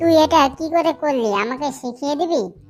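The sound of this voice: A woman uses a cartoonish character voice at a moderate pace, with music in the background.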